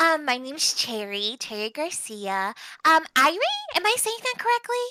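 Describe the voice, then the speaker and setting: Putting on a squeaky character voice, a woman speaks at a moderate pace in a high pitch with very wide pitch swings and an upbeat tone. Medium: actual play. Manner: sweet, upbeat, polite.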